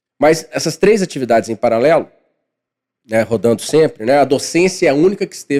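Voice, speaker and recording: This man has a dark, mellow tone at a fairly high pitch. His intonation is lively, and his pace is fairly quick. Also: big swings in loudness. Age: 40s. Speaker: financial consultant and professor. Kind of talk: podcast interview.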